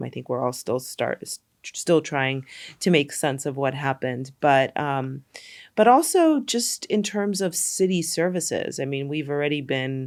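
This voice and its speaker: A woman with a New York accent, a moderate pace and ordinary pitch variation. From New York, Brooklyn. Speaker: documentary filmmaker. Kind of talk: podcast interview.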